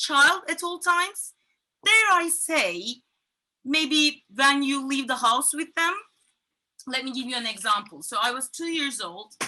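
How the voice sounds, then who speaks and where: Her voice is raised and projected, high-pitched, with a bright, sharp tone. The woman keeps a moderate pace and lively intonation. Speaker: comedian. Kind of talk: stand-up.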